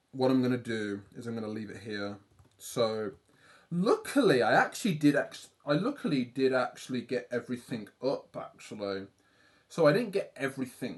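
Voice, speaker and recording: Speaking with a British accent at a medium pitch and moderate pace, a man uses lively intonation with big swings in loudness. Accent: British accent, often praised by viewers. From UK. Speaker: livestreaming artist. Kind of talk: casual livestream chat while drawing.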